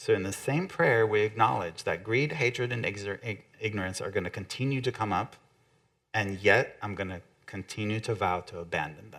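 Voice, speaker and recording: A man with a non-native accent talks at a moderate pace in a fairly low voice. His pitch varies in an ordinary way, while his loudness swings a lot. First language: not English. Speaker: guest speaker, author, Buddhist teacher. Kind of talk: sermon-style talk.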